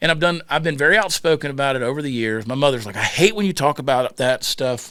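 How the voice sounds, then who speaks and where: In a Southern US accent, a man speaks at a very fast pace. His intonation is lively. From US South, Georgia. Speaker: comedian. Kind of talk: casual chat.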